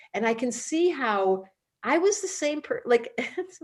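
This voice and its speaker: A woman talks with very wide pitch swings. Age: 60s. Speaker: astrologer and school founder. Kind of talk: promotional video chat.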